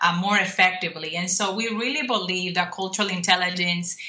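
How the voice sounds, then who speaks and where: A woman of medium pitch speaks in an unremarkable speaking voice. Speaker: program specialist and cultural intelligence speaker. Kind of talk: radio interview. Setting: video call or phone call from abroad.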